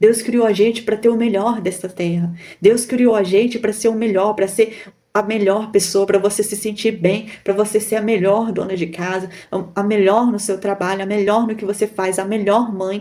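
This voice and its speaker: With a dark, mellow tone and a medium pitch, a woman talks at a moderate pace. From Brazil, Minas Gerais. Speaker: YouTuber, online seller. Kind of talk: motivational talk to camera. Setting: recording to camera. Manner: animated.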